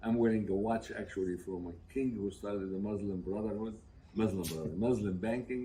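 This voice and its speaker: Audible room echo surrounds a man's dark, mellow tone. He speaks at a fairly quick pace with fairly even intonation. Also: fairly low pitch for a man. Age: 80s+. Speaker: businessman and former professor. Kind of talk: speech at family gathering. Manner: halting.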